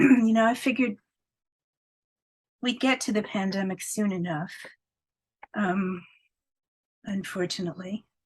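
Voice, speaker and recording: The voice is somewhat breathy and moves at a fairly slow pace. Long pauses come often. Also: woman, medium pitch for a woman, ordinary pitch variation. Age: 70s. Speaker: poet. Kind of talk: reading aloud; interview. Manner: animated.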